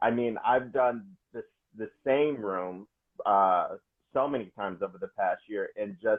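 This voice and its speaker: With an American accent, an ordinary speaking voice keeps a moderate pace and shows ordinary pitch variation. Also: man. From Wisconsin. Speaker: stand-up comedian. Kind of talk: casual interview.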